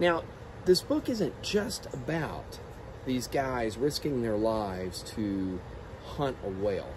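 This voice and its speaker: A man speaks at a very slow pace, his pitch swinging very widely, with noticeable background noise behind him. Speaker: teacher. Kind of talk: book talk to students. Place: garden. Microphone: phone near.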